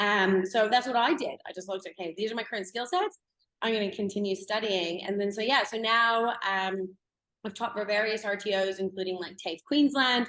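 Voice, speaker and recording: In a normal speaking voice, a woman of medium pitch talks at a fairly quick pace with ordinary pitch variation. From Canada. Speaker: blockchain educator. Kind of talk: interview. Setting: podcast.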